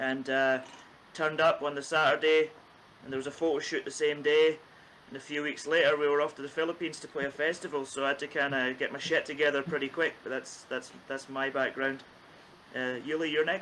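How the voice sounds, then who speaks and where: With a Scottish accent, a man talks at a fairly quick pace in a fairly high pitch, his intonation monotone and flat. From Scotland, east coast. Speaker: bass player in a band. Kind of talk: casual chat.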